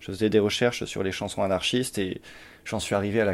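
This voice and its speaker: A man with a plain, everyday voice and fairly even intonation is heard on a very clean recording with a silent background. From Champagne-Ardenne, France. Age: 20s. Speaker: poet and cinema worker. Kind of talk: casual chat. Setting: at home.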